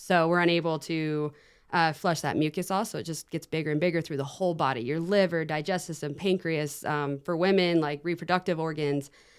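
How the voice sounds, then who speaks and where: In an American accent, a woman with a fairly low pitch speaks at a fairly quick pace. Her intonation stays fairly even on a very clean recording with a silent background. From Idaho, US. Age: 20s. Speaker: paddle board athlete with cystic fibrosis. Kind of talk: interview.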